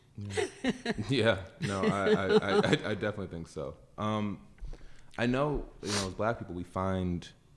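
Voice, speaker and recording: A man with a normal speaking voice and fairly low pitch talks at a moderate pace with big swings in loudness, on a very clean recording with a silent background. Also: ordinary pitch variation. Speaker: podcast host. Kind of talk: casual interview conversation.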